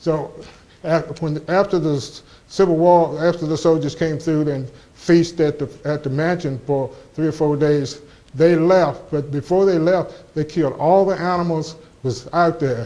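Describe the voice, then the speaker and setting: A man with an Appalachian accent speaks at a moderate pace, his pitch fairly high and his tone dark and mellow. His intonation is fairly even, and audible room echo surrounds him. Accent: Appalachian Southern American. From US South, southwest Virginia (Montgomery County). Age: 70s. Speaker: local historian speaker. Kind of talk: lecture. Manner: halting, frequent restarts.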